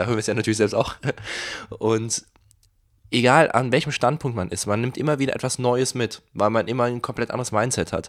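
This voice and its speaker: On a very clean recording with a silent background, a man talks at a fairly quick pace. His pitch variation is ordinary. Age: 20s. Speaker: podcast host and magician. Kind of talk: casual chat.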